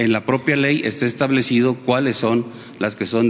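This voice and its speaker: Fairly quick speech from a man against noticeable background noise. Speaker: defense official. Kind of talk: official briefing.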